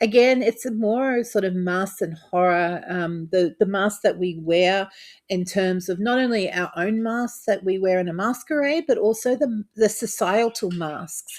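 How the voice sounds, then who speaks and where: A woman's voice with hardly any pauses, on a very clean recording with a silent background. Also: medium pitch for a woman, ordinary pitch variation, fairly slow pace. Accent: Australian. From Australia. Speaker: tabletop RPG content creator. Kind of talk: casual talk-to-camera overview. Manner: hesitant, many fillers.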